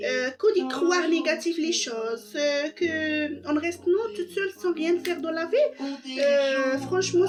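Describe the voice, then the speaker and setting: Speaking at a very slow pace with a non-native accent, a woman uses ordinary pitch variation while music plays in the background. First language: not French (speaking French). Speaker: vlogger. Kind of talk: personal monologue. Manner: soft-spoken; halting.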